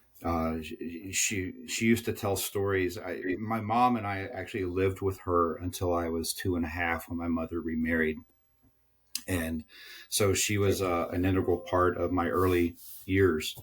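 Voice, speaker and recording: The recording is very clean, with a silent background. A man with a very deep, low pitch talks at a moderate pace, somewhat breathy and with fairly even intonation. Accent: American. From Southern United States. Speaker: tech sales executive. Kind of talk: interview answer.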